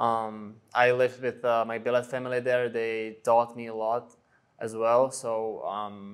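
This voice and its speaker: A man of medium pitch speaks at a fairly slow pace with monotone, flat intonation. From Czech Republic, small town. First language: Czech. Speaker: ice hockey player. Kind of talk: interview. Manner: hesitant, many fillers.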